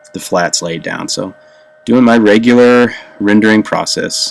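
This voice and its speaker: Noticeable background noise sits under a man who talks at a fairly slow pace. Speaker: comic artist. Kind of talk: tutorial. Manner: hesitant, many fillers.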